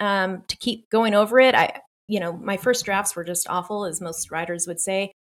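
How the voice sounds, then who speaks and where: A woman talks at a moderate pace with lively intonation. She has an ordinary speaking voice. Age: 50s. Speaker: author. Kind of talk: interview.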